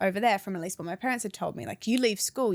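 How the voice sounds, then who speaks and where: A woman talks in an English accent with ordinary pitch variation. The recording is very clean and the background silent. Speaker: anti-vaping campaigner. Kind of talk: podcast interview, personal story.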